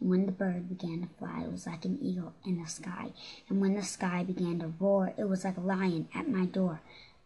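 The delivery is animated and dramatic at a fairly quick pace. Noticeable background noise runs underneath. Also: woman, medium pitch for a woman. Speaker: podcast host. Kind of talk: ghost story telling, reading spooky poems aloud in a playful spooky voice. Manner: laughs and stumbles over words, casual, chatty.

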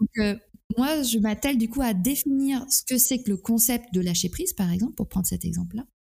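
Fairly quick and fairly high-pitched, a woman talks in a dark, mellow tone with ordinary pitch variation. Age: 40s. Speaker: hypnotherapist. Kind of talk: interview. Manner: halting.

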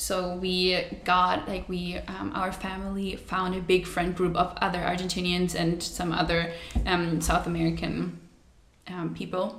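Amid noticeable background noise, a woman speaks at a fairly slow pace in a fairly low pitch with monotone, flat intonation. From Germany. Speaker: podcast co-host. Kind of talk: casual chat.

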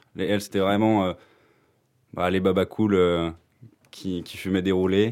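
On a very clean recording with a silent background, a man with a fairly low pitch talks at a fairly slow pace with fairly even intonation. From France. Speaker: university student. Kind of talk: casual chat.

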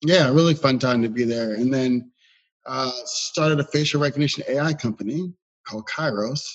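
Someone with an unremarkable speaking voice and an American accent talks at a fairly quick pace with ordinary pitch variation over a quiet background. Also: man. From Philadelphia, US. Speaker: venture capital investor. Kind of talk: interview.

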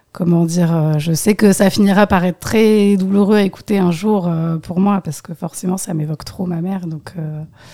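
A woman speaks at a moderate pace with fairly even intonation. Noticeable background noise accompanies her. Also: medium pitch for a woman. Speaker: musician. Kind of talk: casual chat. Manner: halting.

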